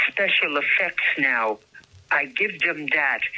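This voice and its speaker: Against noticeable background noise, a woman speaks very slowly, her pitch swinging very widely. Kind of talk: interview answer. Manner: hesitant, halting.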